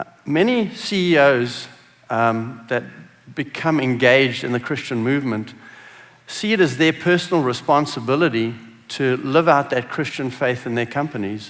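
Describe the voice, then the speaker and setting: Speaking with a South African accent, a man uses a medium pitch and ordinary pitch variation at a moderate pace. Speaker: business executive. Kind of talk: conference talk.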